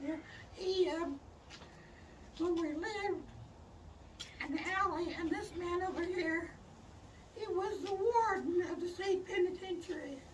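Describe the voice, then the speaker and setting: At an extremely high pitch, a woman speaks at a fairly slow pace. Her intonation stays fairly even, broken by long, frequent pauses. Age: 80s+. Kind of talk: casual conversational storytelling. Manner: rambling, halting.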